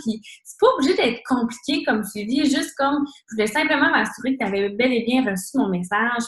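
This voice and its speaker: Talking fairly quickly with a Quebec accent, a woman has a high pitch and lively intonation. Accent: Québécois French. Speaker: fitness coach. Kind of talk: team call presentation. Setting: conference call. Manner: fast.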